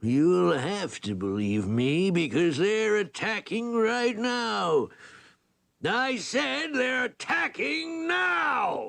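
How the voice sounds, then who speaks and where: A man puts on a cartoonish character voice with a high pitch. He talks at a very slow pace with very wide pitch swings. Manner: gloating, scheming.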